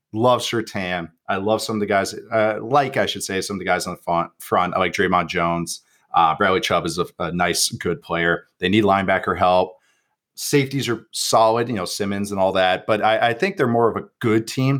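Recorded very cleanly against a silent background, a man with a normal speaking voice talks at fairly low pitch with ordinary pitch variation. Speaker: football analyst. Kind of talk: casual chat.

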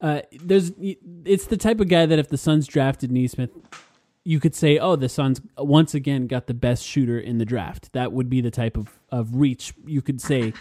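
A man's fairly high-pitched voice with a dark, mellow tone at a moderate pace. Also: ordinary pitch variation, dry, close sound with no echo. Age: 30s. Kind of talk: casual chat.

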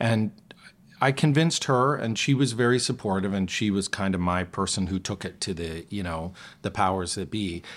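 A man with a Canadian accent speaks in a plain, everyday voice, fairly low in pitch, at a moderate pace. His pitch varies an ordinary amount, and the recording is very clean with a silent background. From Western Canada, Calgary. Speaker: stage actor and singer. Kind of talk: casual chat.

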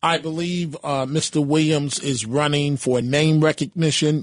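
A man talks at a fairly slow pace in a fairly high pitch, with fairly even intonation and a normal speaking voice. The background is quiet. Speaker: radio talk show host and political journalist. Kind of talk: talk radio discussion.

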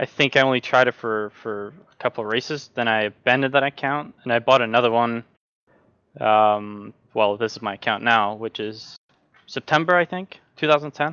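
A man speaks at a moderate pace. His pitch is medium, with ordinary variation. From Norway. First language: Norwegian. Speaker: sim racing driver. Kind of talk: casual chat.

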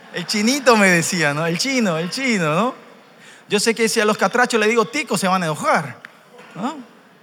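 Over noticeable background noise, a man speaks in a raised, projected voice at a high pitch. He sounds animated at a moderate pace, with lively intonation and big swings in loudness. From Paraguay (Korean family). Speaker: church interpreter. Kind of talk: sermon interpretation and personal testimony. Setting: church youth conference with audience.

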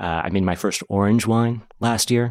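Spoken with an American accent, this is an ordinary speaking voice with ordinary pitch variation. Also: man, very clean recording, silent background. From Oregon. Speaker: winemaker. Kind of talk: casual chat.

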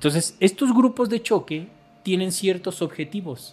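This man talks at a fairly quick pace with very wide pitch swings. The recording is very clean, with a silent background. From Mexico. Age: 40s. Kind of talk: interview.

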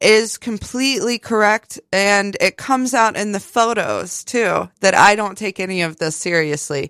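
An American-accented woman has an unremarkable speaking voice at medium pitch, with ordinary pitch variation, a moderate pace and hardly any pauses, in a dry, close sound with no echo on a very clean recording with a silent background. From West Virginia, US (Fairmont). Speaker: artist and artist's model. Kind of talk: casual interview.

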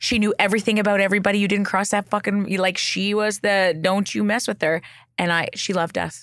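A woman speaks very fast with a Western Canadian accent. Her pitch sits in the medium range. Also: very clean recording, silent background. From Canada. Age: 40s. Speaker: clinical psychologist. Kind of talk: casual chat. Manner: animated.

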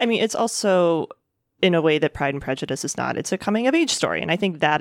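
Talking very fast with vocal fry, a woman keeps to ordinary pitch variation. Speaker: film critic podcast co-host. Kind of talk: casual film discussion.

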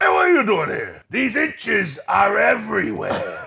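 Using a put-on character voice, a man speaks in a raspy, raised, projected voice at a moderate pace. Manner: gruff, confrontational.

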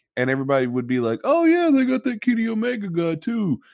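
A man talks with an Appalachian accent. His pitch swings very widely. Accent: West Virginian, Appalachian. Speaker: podcast host and wrestling fan. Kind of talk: casual chat.

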